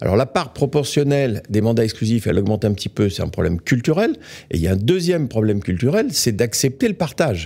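Against a quiet background, a man with a dark, mellow tone talks at a fairly quick pace with very wide pitch swings. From France. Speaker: real estate executive; guest. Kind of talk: interview. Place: studio. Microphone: studio mic.

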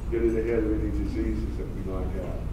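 Room echo is audible along with noticeable background noise. The speaker is a man. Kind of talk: conference presentation. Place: hall.

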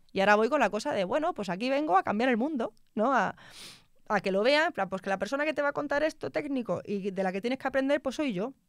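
Talking at a very fast pace, a woman with a high pitch and lively intonation is heard in a dry sound with no echo against a quiet background. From Spain, Extremadura (Mérida); Extremadura, Spain. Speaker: telecom engineer; guest. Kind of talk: interview conversation. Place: studio. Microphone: studio mic.

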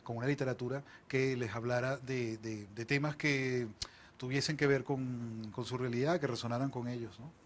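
With light background noise behind him, a man speaks at a moderate pace in a medium pitch and fairly even intonation. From Venezuela, Barquisimeto (Lara) and Caracas; Venezuela. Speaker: novelist; interviewee. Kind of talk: interview. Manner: halting, frequent repetitions. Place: studio. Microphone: lapel.

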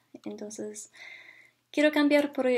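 The background stays quiet as a woman speaks. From Canada, Ontario. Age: 20s. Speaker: university student. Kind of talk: language practice monologue. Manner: halting, many fillers. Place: home room. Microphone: webcam.

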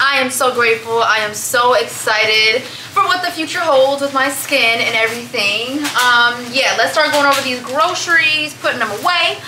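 With an American accent, a woman uses a raised, projected voice at a high pitch, with ordinary pitch variation, a moderate pace and hardly any pauses, over noticeable background noise. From US Midwest. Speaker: YouTube vlogger. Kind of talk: casual vlog talk to camera. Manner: animated.

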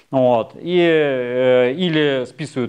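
A man against a quiet background. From Russia. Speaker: anthropologist, university lecturer; anthropologist lecturer. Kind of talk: popular science lecture. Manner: casual, hesitant fillers (э). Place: studio. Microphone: lapel.

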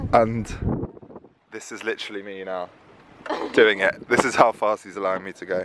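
The man's fairly low voice comes at a fairly quick pace in a monotone, flat intonation, with a dry sound with no echo and noticeable background noise. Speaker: vlogger. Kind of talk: casual vlog chat. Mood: cheerful holiday mood. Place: boat. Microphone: phone near.

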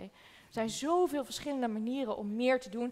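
A woman speaking at a fairly quick pace, with ordinary pitch variation. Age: 20s. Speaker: documentary maker; guest. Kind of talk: panel discussion. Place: hall.

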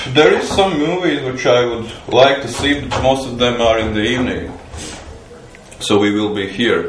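Speaking fairly slowly with ordinary pitch variation, a man is heard with audible room echo and light background noise. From Latvia. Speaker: festival cook. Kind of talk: interview. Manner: halting. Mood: relaxed. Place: kitchen. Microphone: phone near.

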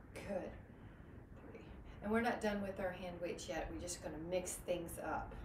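Noticeable background noise sits behind a woman talking at a moderate pace with fairly even intonation. She leaves long, frequent pauses. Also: fairly low pitch for a woman. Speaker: fitness instructor. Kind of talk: live group fitness class, cueing exercises. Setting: online video class with live participants. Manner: calm, encouraging, rhythmic cueing; warm, positive, uplifting. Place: home room. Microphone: camera far.

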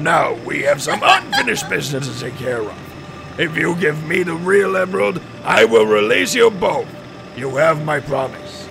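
Clear background noise sits behind a man doing a put-on character voice. He speaks at a fairly high pitch and a moderate pace. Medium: dub. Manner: gloating, menacing.

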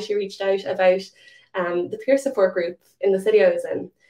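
A woman with a Limerick accent speaks at a moderate pace against a quiet background. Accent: Irish (Limerick). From Ireland, Limerick; Ireland. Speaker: diabetes advocate; presenter. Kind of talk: conference presentation. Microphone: webcam.

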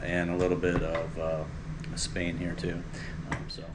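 Over noticeable background noise, a man with a very deep, low pitch talks at a moderate pace. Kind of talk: cooking tutorial chat. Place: kitchen. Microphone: camera far.

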